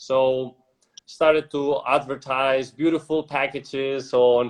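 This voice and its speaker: Spanish-accented speech comes from a man. His voice sits fairly high. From Spain, Madrid. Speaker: entrepreneur. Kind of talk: casual interview.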